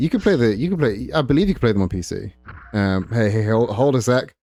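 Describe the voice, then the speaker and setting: Music plays in the background as a man speaks. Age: 30s. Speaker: gaming streamer. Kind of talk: casual chat.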